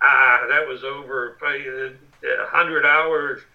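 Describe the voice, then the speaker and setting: Noticeable background noise surrounds a man's voice. He speaks at a fairly high pitch with monotone, flat intonation. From Western Pennsylvania. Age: 60s. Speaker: war veteran and journalist. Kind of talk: interview.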